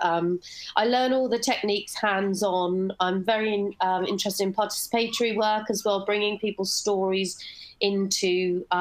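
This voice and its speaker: Speaking with a British accent, a woman keeps a medium pitch, a moderate pace and fairly even intonation. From UK. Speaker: bio artist; presenter. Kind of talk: online panel presentation. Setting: video call. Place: home room.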